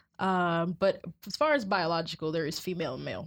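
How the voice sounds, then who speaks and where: A woman's fairly low voice with vocal fry, on a very clean recording with a silent background. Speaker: college student. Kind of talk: casual chat.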